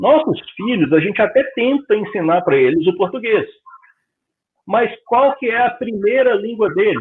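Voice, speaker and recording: A man's high-pitched, lively voice at a fairly slow pace, with very even loudness. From Brazil. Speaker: spiritist lecturer. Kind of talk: lecture. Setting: public meeting, streamed. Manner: conversational.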